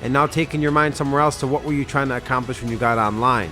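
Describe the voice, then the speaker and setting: Over music in the background, a man talks very fast with ordinary pitch variation. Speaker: sales coach. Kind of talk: casual chat.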